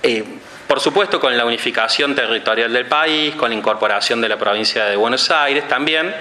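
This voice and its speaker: A man is speaking with audible room echo. Noticeable background noise runs under his voice. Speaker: academic lecturer. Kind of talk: conference lecture. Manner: fast; hesitant with fillers and repetitions.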